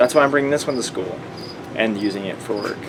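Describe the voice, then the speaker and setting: The man's pitch sits in the medium range, with fairly even intonation. Audible room echo and noticeable background noise surround his voice. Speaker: vlogger and automotive student. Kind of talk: casual vlog tutorial. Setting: basement at night. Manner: quiet.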